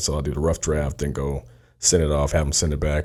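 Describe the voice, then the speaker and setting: Vocal fry marks a man's very deep, low pitch. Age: 30s. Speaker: R&B singer. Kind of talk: casual interview chat.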